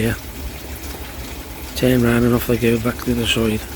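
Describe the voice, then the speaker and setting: Words come at a very fast pace in monotone, flat intonation, with noticeable background noise behind them. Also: man. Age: 60s. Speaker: koi pond hobbyist vlogger. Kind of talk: casual video diary. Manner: informal, conversational.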